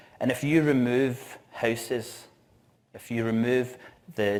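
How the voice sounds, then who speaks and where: A man with a strong Scottish accent speaks with fairly even intonation. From Scotland, Glasgow. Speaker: event organiser and conference speaker. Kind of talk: conference talk. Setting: stage with audience.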